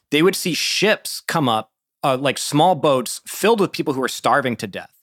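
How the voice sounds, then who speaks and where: A man with an unremarkable speaking voice and a fairly high pitch speaks at a moderate pace, with ordinary pitch variation. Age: 40s. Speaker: podcast host. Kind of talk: political interview; scripted narration.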